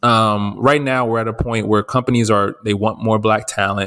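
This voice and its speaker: With an American accent, an ordinary speaking voice moves at a moderate pace with fairly even intonation. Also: man. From New Jersey. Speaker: podcast co-host, journalist. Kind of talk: casual chat.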